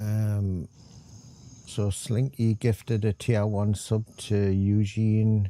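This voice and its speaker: A man's very slow, fairly low, dark and mellow voice with a Geordie accent and monotone, flat intonation. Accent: north-east English (Geordie). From England. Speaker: gaming streamer. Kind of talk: live gameplay stream chat. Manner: casual, hesitant with fillers.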